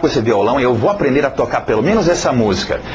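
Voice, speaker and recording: The voice moves with lively intonation over noticeable background noise. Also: man. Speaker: English teacher. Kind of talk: video lesson introduction. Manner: halting, many fillers and repetitions.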